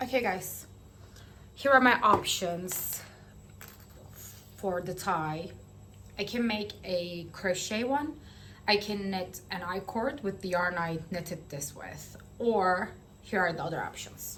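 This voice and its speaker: Very slowly and with long, frequent pauses, a woman at a medium pitch speaks in a bright, sharp tone, with audible room echo. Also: ordinary pitch variation. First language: not English. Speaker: knitting vlogger. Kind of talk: casual vlog chat. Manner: hesitant, filler-heavy.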